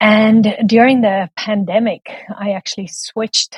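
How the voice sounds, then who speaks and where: Somewhat breathy, a woman with a South African accent speaks at a fairly slow pace in a dry, close sound with no echo. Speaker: book coach and editor. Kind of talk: podcast interview.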